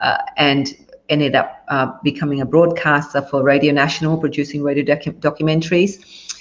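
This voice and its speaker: A woman's very deep, low voice, monotone and flat, very even in loudness, at a fairly quick pace. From Vietnam, grew up in Australia. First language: Vietnamese. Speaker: business owner, former journalist. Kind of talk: interview. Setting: live stream video call.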